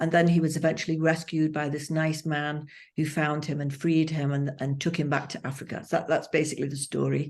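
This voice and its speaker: A woman's very deep, low voice, monotone and flat in intonation, at a fairly quick pace with hardly any pauses, against a quiet background. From northern England, Hull. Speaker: psychotherapist, author and actor. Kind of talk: interview. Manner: hesitant with frequent fillers.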